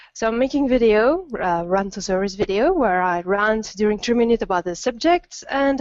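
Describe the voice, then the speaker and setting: A woman with a Belgian French accent speaks at a moderate pace, her fairly high voice showing ordinary pitch variation. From Belgium. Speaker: gaming video creator. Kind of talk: casual chat.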